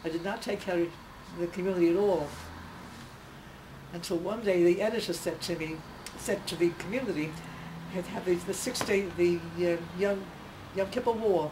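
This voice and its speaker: Against noticeable background noise, a woman with a fairly low pitch speaks with fairly even intonation and long, frequent pauses. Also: moderate pace. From Russia, Odessa. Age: 90s. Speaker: centenarian newspaper columnist. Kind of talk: interview, personal reminiscence. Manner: halting, with hesitations.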